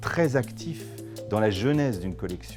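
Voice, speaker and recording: Music plays in the background. The speech keeps a moderate pace. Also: man. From France. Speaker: fine art auctioneer. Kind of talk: interview answer.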